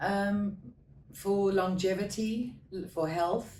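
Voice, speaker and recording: Audible room echo surrounds a woman whose tone is dark and mellow. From South Africa. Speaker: patient giving testimonial. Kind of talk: interview testimonial. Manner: halting.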